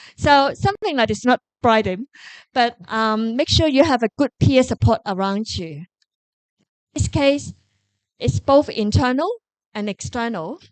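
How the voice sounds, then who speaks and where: A woman with a Korean accent speaks at a fairly slow pace, with long, frequent pauses and lively intonation at a fairly high pitch. The sound is dry and close with no echo, over a quiet background. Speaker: professor. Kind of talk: Q&A answer at a lecture forum. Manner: animated.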